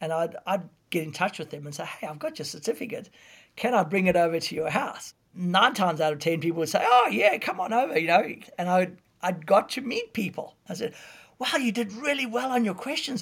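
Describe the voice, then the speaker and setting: Speaking at a fairly quick pace, a man with a high pitch and lively intonation is heard on a very clean recording with a silent background. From South Africa. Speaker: preacher and evangelist. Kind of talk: casual interview.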